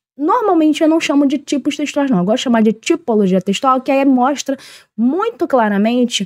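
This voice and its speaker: With a strong Rio de Janeiro accent, a woman speaks at a high pitch with very wide pitch swings, in a dry, close sound with no echo. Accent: strong carioca accent with hissing s. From Rio de Janeiro, Brazil. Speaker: teacher. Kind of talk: online lesson. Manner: informal, conversational.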